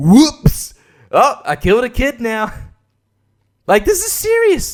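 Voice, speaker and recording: A man with an Australian accent, animated in tone, at a moderate pace. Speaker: podcaster. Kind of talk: casual monologue. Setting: at home at night. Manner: kept quiet to not wake baby.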